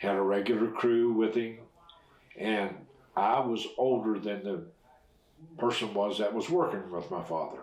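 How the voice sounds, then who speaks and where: Noticeable background noise sits under a voice with an American accent that moves at a fairly slow pace with ordinary pitch variation and long, frequent pauses. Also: man, fairly low pitch for a man. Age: 70s. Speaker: retired railroad fireman. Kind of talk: oral history interview answer.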